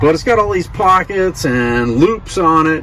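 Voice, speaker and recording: There is light background noise. A man talks at a moderate pace. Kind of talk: casual vlog chat. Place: car. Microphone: phone near.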